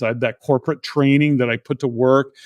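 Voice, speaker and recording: A man with a Canadian accent talks at a fairly high pitch in an ordinary speaking voice. The sound is dry and close with no echo, over a quiet background. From Canada, Alberta. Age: 60s. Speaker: entrepreneur and real estate investor. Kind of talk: interview.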